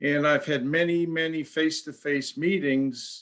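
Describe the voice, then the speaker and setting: A man talks at a moderate pace in an ordinary speaking voice. His pitch varies in an ordinary way. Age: 60s. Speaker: customer, salesperson. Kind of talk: testimonial.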